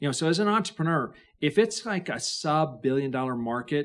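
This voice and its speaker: Lively intonation marks this man's speech. His pitch sits fairly high. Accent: slight Idaho. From Idaho, rural farm. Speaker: venture capitalist. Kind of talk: podcast interview.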